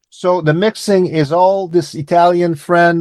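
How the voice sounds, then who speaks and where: The pace is fairly slow. The sound is dry and close, with no echo. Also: man. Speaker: musician. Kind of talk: interview. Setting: radio interview. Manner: halting.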